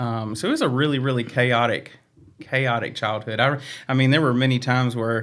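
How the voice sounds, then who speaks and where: A man speaks with a Southern US accent in a flat, monotone delivery. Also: medium pitch for a man, fairly quick pace. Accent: Southern US accent, noticeable. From Virginia, Franklin County near Roanoke. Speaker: staff member and stand-up comedian. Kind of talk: personal testimony in interview. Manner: hesitant, many fillers.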